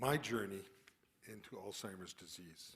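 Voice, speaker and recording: A man talks with a western Canadian accent. His pace is moderate and his pitch variation ordinary. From Calgary, western Canada. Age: 60s. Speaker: retired geoscientist with early onset Alzheimer's. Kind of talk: prepared talk.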